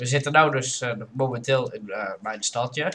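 Very slow and fairly even in intonation, a man talks at a medium pitch. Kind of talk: casual gameplay commentary.

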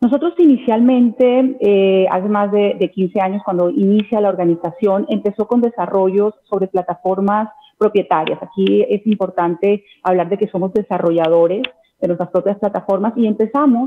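Light background noise accompanies a woman who speaks at a moderate speed, her pitch varying in an ordinary way. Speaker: guest. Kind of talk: interview answer. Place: home room. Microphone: video call.

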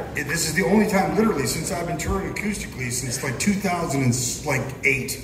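A man speaks at a moderate speed with music in the background. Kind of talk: stage banter to audience. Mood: playful, teasing. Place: stage. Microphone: pa.

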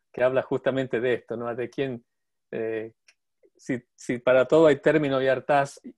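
In a very clean recording with a silent background, a man with an Argentine accent speaks at a moderate pace and a medium pitch. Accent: Argentine Spanish (Rioplatense). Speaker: podcast host and portrait painter. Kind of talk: casual chat. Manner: halting.

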